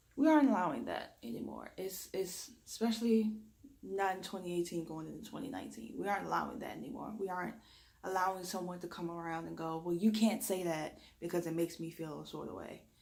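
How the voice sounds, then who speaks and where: A woman with an American accent, lively intonation, big swings in loudness and audible room echo. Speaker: reiki energy healer. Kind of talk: spiritual talk to camera.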